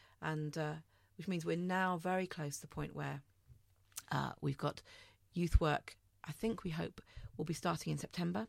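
A woman with a very deep, low voice and vocal fry speaks at a moderate pace with ordinary pitch variation and long, frequent pauses, on a very clean recording with a silent background. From London, East End. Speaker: vicar. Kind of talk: interview.

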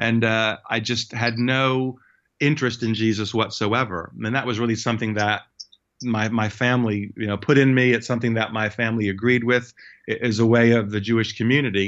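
A man with an American accent talks at a fairly quick pace. His medium-pitched voice stays monotone and flat. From US. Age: 50s. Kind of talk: testimony.

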